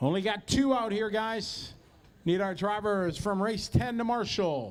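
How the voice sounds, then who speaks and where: Loud and high-pitched, a man speaks at a fairly slow pace. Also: ordinary pitch variation. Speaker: race announcer. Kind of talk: event PA announcing.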